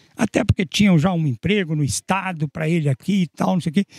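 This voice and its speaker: Speaking at a moderate pace with lively intonation, a man comes through in a dry, close sound with no echo. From Minas Gerais, Brazil. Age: 80s+. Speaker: local historian and author. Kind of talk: interview.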